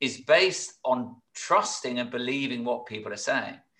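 A fairly slow pace with a British accent. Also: man. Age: 60s. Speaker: business coach, former entrepreneur. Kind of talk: interview. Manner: halting with repeated words.

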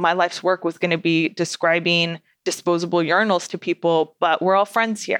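A woman with a fairly low pitch speaks at a moderate pace in a dry, close sound with no echo. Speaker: podcast host. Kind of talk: scripted intro then casual solo podcast talk. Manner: animated, loud; chatty, conversational.

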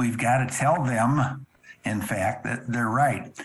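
Noticeable background noise sits behind this recording. A man talks at a very slow pace. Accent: American. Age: 70s. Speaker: drum corps instructor and visual judge. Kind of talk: interview conversation.

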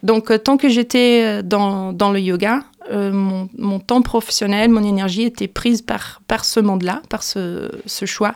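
A woman talks at a very slow pace with hardly any pauses. Her pitch sits in the medium range and her intonation stays fairly even. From Brazil. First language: Portuguese (speaking French). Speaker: singer-songwriter. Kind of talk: radio interview. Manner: halting, with repetitions.

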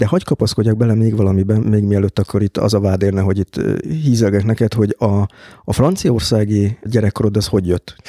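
A man talks at a fairly quick pace in a fairly low voice with a dark, mellow tone, very even loudness and fairly even intonation. The sound is dry and close, with no echo. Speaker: podcast host. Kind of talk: interview.

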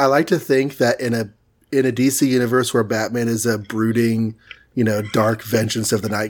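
The recording is very clean, and the background is silent. A man with a normal speaking voice and an American accent talks at a medium pitch and a moderate pace, with fairly even intonation. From Texas. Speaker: comic book podcast host. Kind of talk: casual chat.

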